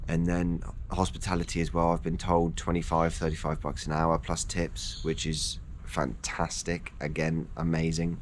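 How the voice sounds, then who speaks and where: Speaking with an English accent and vocal fry, a man uses a very deep, low pitch and fairly even intonation at a moderate pace, with audible room echo. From England. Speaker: personal trainer and fitness vlogger. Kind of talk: casual vlog monologue. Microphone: no wind muffler on mic.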